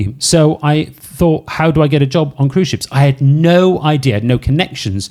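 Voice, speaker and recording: A man speaks with a dark, mellow tone and a slight Welsh accent. His pitch moves in an ordinary way. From Wales, Cardiff. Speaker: podcast host, former cruise ship DJ. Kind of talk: casual chat. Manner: animated.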